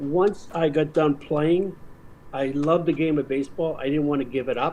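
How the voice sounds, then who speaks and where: Speaking with an American accent, this man has a fairly high pitch, a dark, mellow tone, fairly even intonation and a moderate pace. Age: 60s. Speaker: baseball umpire. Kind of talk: casual chat.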